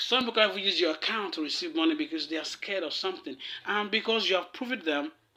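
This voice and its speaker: Projecting his voice loudly, a man speaks at a very fast pace with very wide pitch swings. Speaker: podcast host. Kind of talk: monologue. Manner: casual, halting.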